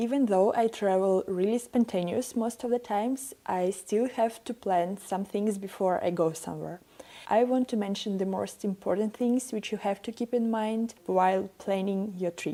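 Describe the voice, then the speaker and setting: A woman with a dark, mellow tone speaks with fairly even intonation. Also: medium pitch for a woman, moderate pace, hardly any pauses. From Ukraine. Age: 20s. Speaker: travel vlogger. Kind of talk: vlog tips talk.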